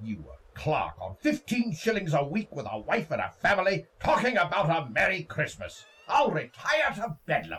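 A man's put-on character voice, fairly high and fairly bright with a slightly husky edge, very wide pitch swings, a moderate pace, and few pauses

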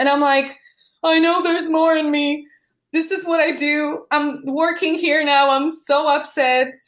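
A woman with a Polish accent at a fairly slow pace. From Poland. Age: 30s. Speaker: artist and entrepreneur. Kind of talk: interview.

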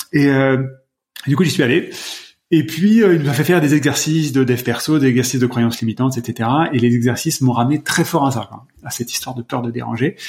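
The speaker moves at a fairly quick pace with long, frequent pauses and a somewhat breathy voice. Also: man, medium pitch for a man, ordinary pitch variation. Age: 40s. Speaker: personal development practitioner. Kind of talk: casual chat. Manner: halting.

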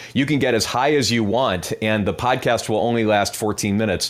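A man with an ordinary speaking voice talks at a moderate pace, at medium pitch with ordinary pitch variation. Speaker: media tech company CEO. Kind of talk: panel discussion. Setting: audio chat app room.

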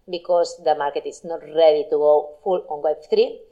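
In a Catalan accent, a woman speaks at a fairly low pitch with a dark, mellow tone. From Spain, Barcelona. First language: Spanish or Catalan. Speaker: blockchain marketing entrepreneur. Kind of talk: talk with Q&A.

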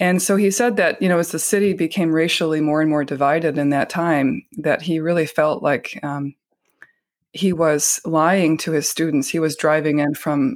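Delivered at a fairly quick pace in a calm tone, the speech comes through on a very clean recording with a silent background. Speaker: Zen Buddhist vice abbot. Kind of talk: interview conversation.

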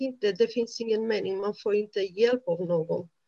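A woman's voice at a medium pitch with ordinary pitch variation. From Romania. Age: 30s. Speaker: honour violence survivor. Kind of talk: testimony. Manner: halting.

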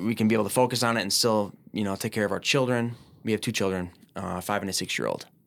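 Speaking at a very fast pace, a man with an American accent keeps a fairly low pitch and fairly even intonation. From Minneapolis, Minnesota. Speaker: business owner. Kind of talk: podcast interview. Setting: studio.

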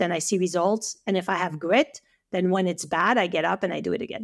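A woman with a French accent at medium pitch, fairly quick in pace and animated in tone. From France, French Alps. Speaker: acupuncturist and online educator. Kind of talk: casual interview conversation.

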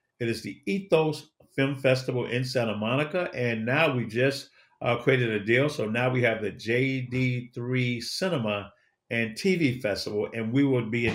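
A man with a normal speaking voice and an American accent talks at a moderate pace, medium in pitch with ordinary pitch variation. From Chicago. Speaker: motivational speaker and media entrepreneur. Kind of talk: interview.

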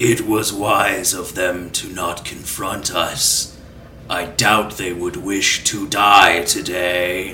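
Over clear background noise, a man puts on a character voice at a very deep, low pitch and a very slow pace. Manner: flat monotone, no volume change.

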